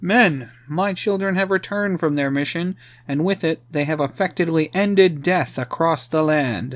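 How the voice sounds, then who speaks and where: At a moderate pace, a man puts on a character voice with a high pitch. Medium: read story. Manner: commanding, grandiose.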